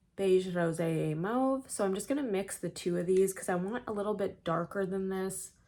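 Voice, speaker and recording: Here a woman speaks at medium pitch. Her pitch varies in an ordinary way. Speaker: beauty vlogger. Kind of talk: makeup tutorial. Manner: casual.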